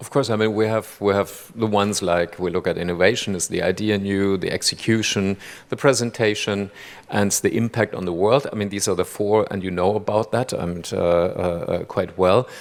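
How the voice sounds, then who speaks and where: This man speaks with a German accent at a moderate pace. His pitch is fairly low and his intonation fairly even. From Germany. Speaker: jury chairman. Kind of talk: stage interview. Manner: halting, many repeated words.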